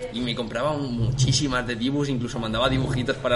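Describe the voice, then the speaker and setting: A man talks at a fairly quick pace in a medium pitch with monotone, flat intonation. Noticeable background noise and audible room echo surround his voice. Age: 20s. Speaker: videogame podcast co-host. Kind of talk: casual chat.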